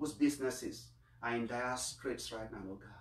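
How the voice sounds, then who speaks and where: In a room with audible echo, a man talks with fairly even intonation. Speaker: priest. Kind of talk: Mass homily and prayers of the faithful. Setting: online livestream of Mass. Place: home room. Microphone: camera far.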